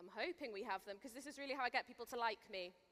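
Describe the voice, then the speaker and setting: A woman with a Welsh accent speaks at a high pitch in a bright, sharp tone. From Wales. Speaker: Bible teacher, festival speaker. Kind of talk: sermon. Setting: stage with audience. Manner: casual, chatty.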